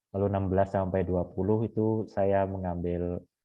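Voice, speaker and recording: A man speaks at a very deep, low pitch in a monotone, flat intonation. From Bali, Indonesia. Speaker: Jesuit seminarian leading a Bible study. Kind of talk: online Bible study session.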